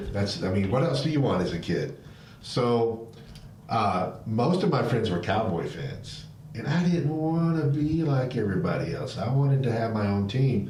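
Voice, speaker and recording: Medium-pitched man with an American accent and lively intonation, amid noticeable background noise and audible room echo. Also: moderate pace. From Alabama. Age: 60s. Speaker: live stream host. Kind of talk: casual chat.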